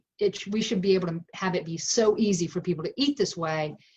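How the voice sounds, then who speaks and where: A woman's ordinary speaking voice at a medium pitch and fairly quick pace, with ordinary pitch variation. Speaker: plant-based food company founder. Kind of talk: interview answer.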